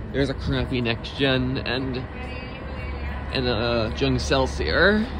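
A man speaks with music in the background. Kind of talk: casual commentary. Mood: amused, chatty. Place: station. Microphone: phone near.

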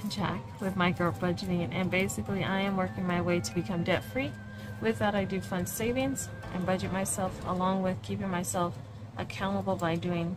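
Over clear background music, a woman talks at a moderate pace in a fairly low pitch. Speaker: budgeting creator. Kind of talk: casual tutorial vlog chat.

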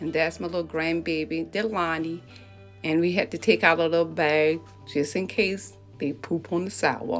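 A woman's fairly low-pitched voice at a moderate pace, with faint music in the background. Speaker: vlogger filming a family walk. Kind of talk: casual vlog chat. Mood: cheerful, upbeat. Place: street. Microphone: phone near.

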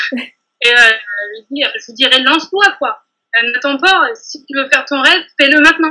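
With faint music in the background, a woman uses a raised, projected voice at a high pitch, speaking at a moderate pace with lively intonation. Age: 30s. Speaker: bakery saleswoman and nail technician trainee; bakery saleswoman. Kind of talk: testimony interview. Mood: warm, enthusiastic. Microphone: video call.

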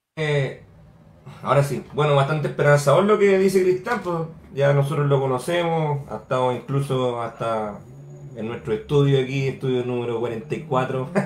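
Heard with audible room echo and light background noise, a man speaks at a moderate pace in a fairly high voice with ordinary pitch variation. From Chile. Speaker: political movement representative; radio panelist. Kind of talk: panel questioning. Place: home room. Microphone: earbuds.

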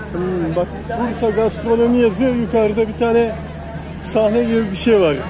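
A woman speaks at a fairly slow pace with ordinary pitch variation. Crowd noise sits in the background of a dry sound with no echo. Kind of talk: casual vlog chat. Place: street. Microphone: phone near.

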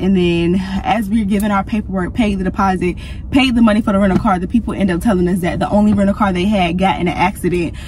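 A woman speaks with fairly even intonation in a dry sound with no echo. Noticeable background noise can be heard. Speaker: travel vlogger. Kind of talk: casual vlog chat. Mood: exasperated, storytelling. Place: car. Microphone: phone near.

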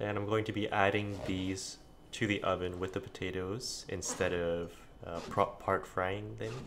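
Quiet and at a fairly slow pace, a man speaks at a fairly low pitch. His intonation is monotone and flat, with noticeable background noise. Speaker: home cook. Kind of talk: casual cooking narration. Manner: quiet, low volume. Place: kitchen.

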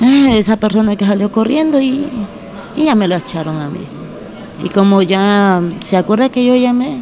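Over light background noise, a woman with a fairly high pitch speaks at a moderate pace with lively intonation and long, frequent pauses. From Honduras. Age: young. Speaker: detained woman; interviewee. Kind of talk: interview. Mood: defensive, earnest. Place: hall. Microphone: handheld.

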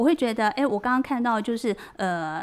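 Her intonation is lively as the woman speaks. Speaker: book editor. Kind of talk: radio interview. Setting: radio studio. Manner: talkative, flowing; hesitant with many fillers. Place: studio.

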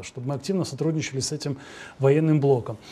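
The man's voice has a dark, mellow tone. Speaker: TV host. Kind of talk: TV interview. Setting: studio. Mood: calm, analytical. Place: studio. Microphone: lapel.

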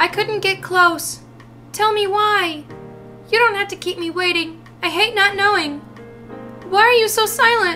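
A put-on character voice, female-sounding and extremely high, comes with long, frequent pauses. Clear music plays in the background. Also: moderate pace. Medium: dub.

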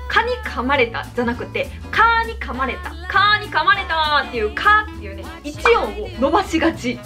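Clear music plays behind a woman speaking in a Kansai accent. She keeps a moderate pace with hardly any pauses. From Kansai, Japan. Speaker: YouTuber. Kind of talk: casual talk to camera. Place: home room.

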